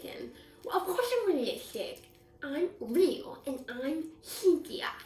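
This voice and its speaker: A woman does a cartoonish character voice at an extremely high pitch, with very wide pitch swings. She speaks at a fairly slow pace with a slight echo. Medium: puppet. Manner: excited, chatty.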